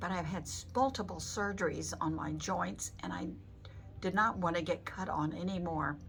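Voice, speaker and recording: A woman speaks with a fairly low pitch and vocal fry. Her pace is moderate. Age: 80s+. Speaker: patient giving a testimonial. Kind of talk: testimony. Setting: on camera with the doctor. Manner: halting.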